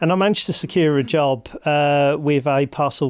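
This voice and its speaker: A man speaks in a Birmingham accent at a moderate pace, with fairly even intonation. The recording is very clean, with a silent background. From Birmingham, England. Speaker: hospital digital executive. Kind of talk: interview.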